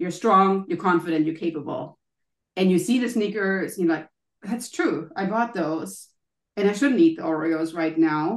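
This woman has a medium-pitched voice with a German accent. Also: ordinary pitch variation, moderate pace. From Germany. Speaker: wellness coach and author. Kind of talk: interview.

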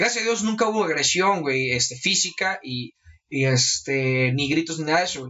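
A man with a normal speaking voice, fairly high pitch, lively intonation, and a moderate pace. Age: 20s. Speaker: hip hop event organizer and interviewer. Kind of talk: casual chat.

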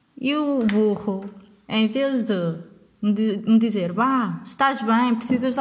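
Noticeable background noise sits behind a woman speaking in an animated tone. Her pitch is fairly high and varies in an ordinary way. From northern Portugal, Vila Nova de Gaia. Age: 20s. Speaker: podcast host. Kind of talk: casual storytelling monologue.

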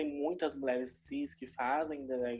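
A woman talks in a very deep, low pitch. Her pace is fairly slow. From São Paulo city (Itaquera). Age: 20s. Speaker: university student and drag artist. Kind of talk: interview.

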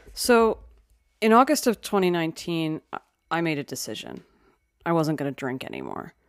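With an American accent, the speaker moves at a fairly quick pace with very wide pitch swings, big swings in loudness and long, frequent pauses, on a very clean recording with a silent background. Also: woman, fairly low pitch for a woman. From Philadelphia, US. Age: 30s. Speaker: podcast host and comedian. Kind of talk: casual chat; scripted narration.

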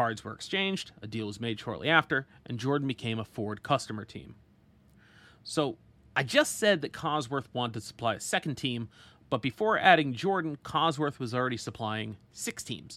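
A man with a bright, sharp tone and a medium pitch speaks at a moderate pace. His intonation is lively, and the recording is very clean with a silent background. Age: 30s. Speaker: motorsport podcast host. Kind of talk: solo podcast narration.

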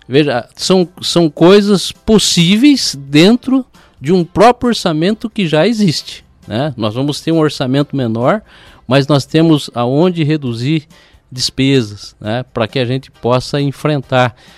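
A man's fairly high voice at a fairly slow pace, lively intonation, music in the background, and a dry, close sound with no echo. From Paraná, Brazil (Ponta Grossa). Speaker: mayoral candidate. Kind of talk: radio interview. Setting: radio studio.

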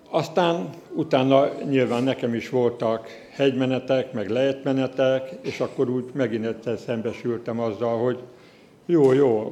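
Noticeable background noise accompanies a man speaking at a moderate pace. His medium pitch shows ordinary variation. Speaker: church leader. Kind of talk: testimony. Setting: church. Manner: halting.

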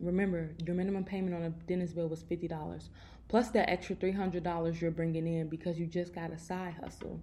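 A woman with an American accent, fairly low in pitch, somewhat breathy, very fast, with a dark, mellow tone. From Chicago. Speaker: personal finance podcaster. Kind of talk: casual monologue. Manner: animated.

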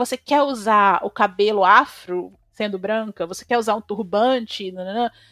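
A woman speaks with a fairly high pitch. Her loudness swings a lot, with music in the background. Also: dry, close sound with no echo. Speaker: social media activist. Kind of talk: casual chat.

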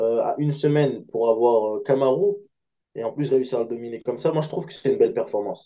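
A man speaking at a moderate pace. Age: 20s. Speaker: MMA fighter. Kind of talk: interview. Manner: halting.

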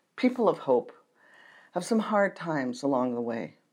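With an American accent, a woman talks at a fairly low pitch, her voice making very wide pitch swings. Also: very clean recording, silent background. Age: 60s. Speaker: pastor. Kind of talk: sermon. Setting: church archives room, filmed video.

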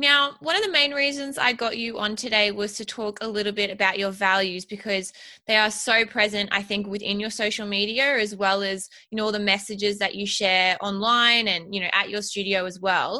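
With an Australian accent, a woman speaks at a medium pitch in a bright, sharp tone and fairly even intonation. Her pace is moderate with hardly any pauses, and the background is quiet. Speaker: podcast host and business coach. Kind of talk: interview.

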